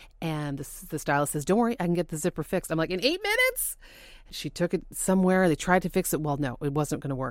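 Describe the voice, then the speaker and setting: Speaking very fast, a woman with a fairly low pitch uses ordinary pitch variation. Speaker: TV co-host. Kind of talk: testimony.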